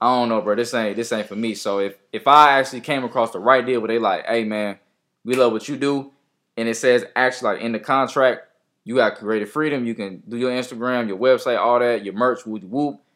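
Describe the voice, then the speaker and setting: Very clean recording, silent background, with a man speaking in an ordinary speaking voice. His pitch is medium and his intonation fairly even. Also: fairly quick pace. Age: 20s. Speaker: rapper. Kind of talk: casual chat. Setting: studio.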